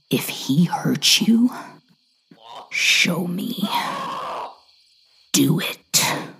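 At a very slow pace with long, frequent pauses, a raspy, put-on character voice speaks at a middle pitch. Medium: read story. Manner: calm, menacing, commanding.

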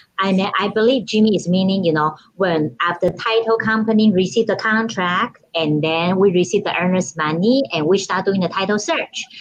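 A woman with a Taiwanese accent speaks at a moderate pace, at medium pitch. She has ordinary pitch variation and hardly any pauses. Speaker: title company escrow officer. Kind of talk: casual interview chat. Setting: video call.

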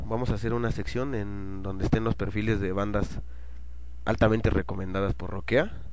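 Audible room echo and noticeable background noise surround the recording. A man speaks in a relaxed tone. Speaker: internet radio host. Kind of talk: casual radio show chat. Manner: relaxed, slangy.

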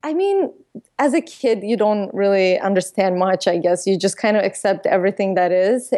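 A woman talks at a moderate pace with a dark, mellow tone. Her pitch sits in the medium range and varies in an ordinary way. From Azerbaijan (Baku). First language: Russian or Azeri. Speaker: entrepreneur and YouTuber. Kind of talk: interview conversation.

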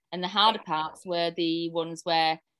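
The speaker talks at a moderate pace with a strong British accent. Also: woman. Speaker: romance author. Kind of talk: casual interview chat.

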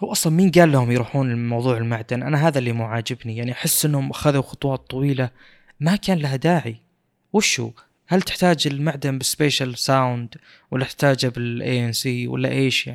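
In a very clean recording with a silent background, a man talks at a moderate pace in a normal speaking voice of medium pitch with ordinary pitch variation. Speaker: podcast host. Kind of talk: casual chat about tech news.

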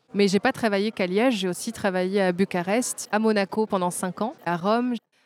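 The sound is dry and close with no echo. A woman speaks at a medium pitch in an ordinary speaking voice with fairly even intonation. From Belgium. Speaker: fashion designer and brand founder. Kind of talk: interview. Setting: trade fair.

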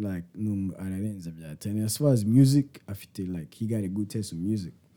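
A man with a Rwandan accent speaks at a moderate pace in a fairly low, dark, mellow tone. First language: Kinyarwanda. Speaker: podcast host. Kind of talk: casual chat.

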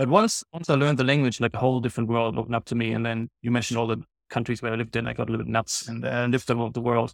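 A man speaks very fast with a German accent, his pitch in the middle range. The sound is dry and close, with no echo. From Germany. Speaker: nonprofit CEO. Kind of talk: casual interview. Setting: video call.

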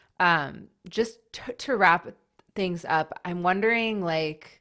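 A woman's fairly low, bright and sharp voice at a slow pace, on a very clean recording with a silent background. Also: ordinary pitch variation.

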